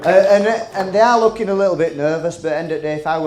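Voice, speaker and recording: With a Yorkshire accent, a man talks at a very fast pace through noticeable background noise and audible room echo. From West Yorkshire, England (Halifax). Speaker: comedian. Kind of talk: stand-up. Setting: stage with audience.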